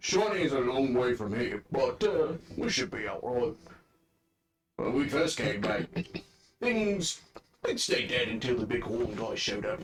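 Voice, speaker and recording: Using a put-on character voice at a medium pitch, a man leaves long, frequent pauses. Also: moderate pace. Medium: actual play. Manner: rambling, hesitant.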